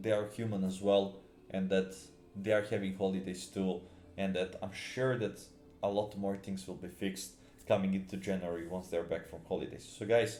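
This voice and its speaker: A man with a dark, mellow tone and a fairly low pitch talks at a moderate pace with fairly even intonation. The room echo is audible. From Serbia. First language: Serbian. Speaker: gaming YouTuber. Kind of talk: casual video commentary. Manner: halting, many fillers and repetitions.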